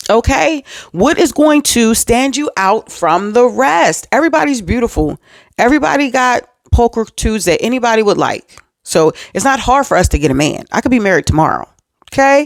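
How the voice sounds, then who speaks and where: A woman speaks in an animated tone at a fairly high pitch, with very wide pitch swings but very even loudness. The sound is dry and close, with no echo. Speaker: faith and relationship vlogger. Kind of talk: motivational talk to camera. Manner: fast.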